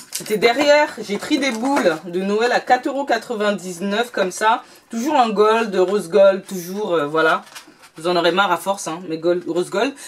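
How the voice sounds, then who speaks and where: Amid noticeable background noise, a woman of medium pitch speaks at a moderate pace with lively intonation. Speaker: beauty and lifestyle youtuber. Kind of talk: shopping haul video.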